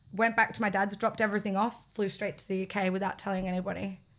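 Speaking very fast with an Australian accent, this voice stays flat and monotone, recorded very cleanly against a silent background. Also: woman. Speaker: reality TV personality. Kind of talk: casual chat.

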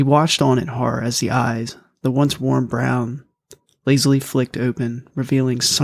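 Against a quiet backdrop, the clip is read aloud in a natural voice, its intonation fairly even.

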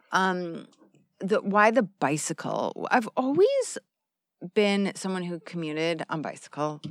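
A woman's medium-pitched voice with an American accent, ordinary pitch variation and a fairly slow pace, dry and close with no echo on a very clean recording with a silent background. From Arizona, US. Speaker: long-distance cyclist, traveller. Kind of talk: casual interview. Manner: hesitant, many fillers.

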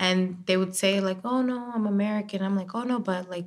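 Speaking with a Spanish accent, a woman keeps a moderate pace. Her medium-pitched voice has fairly even intonation. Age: 20s. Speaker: digital show host and journalist. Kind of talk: casual podcast interview.

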